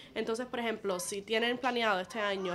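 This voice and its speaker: A woman's fairly high-pitched voice carries fairly even intonation. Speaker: podcast co-host, therapy services. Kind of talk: casual chat. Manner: code-switching Spanglish.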